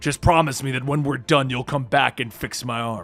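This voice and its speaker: Over faint music in the background, a man puts on a raspy character voice at a medium pitch, moving at a moderate pace. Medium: read story.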